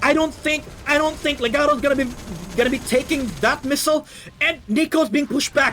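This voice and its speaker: Over noticeable background noise, a man with a non-native accent talks at a fairly quick pace, his pitch extremely high, his intonation fairly even and his loudness very even. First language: not English. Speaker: game caster. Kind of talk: live commentary.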